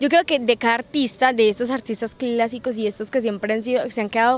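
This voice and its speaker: In a plain, everyday voice, a woman talks fairly quickly at a fairly high pitch with fairly even intonation, the sound dry with no echo. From Colombia, Risaralda (Quinchía); Risaralda, Colombia. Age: young. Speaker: singer; interviewee. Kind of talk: interview. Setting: recorded in Pereira. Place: open country. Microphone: handheld.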